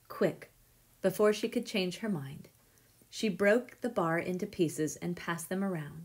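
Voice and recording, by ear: With pitch varying in an ordinary way, the voice reads aloud naturally.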